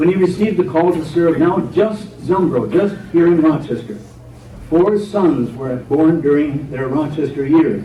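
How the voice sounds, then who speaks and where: This man speaks at a fairly slow pace in a fairly high voice with ordinary pitch variation, over noticeable background noise. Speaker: retired pastor and storyteller giving a historical talk. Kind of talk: church history talk. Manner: storytelling, measured.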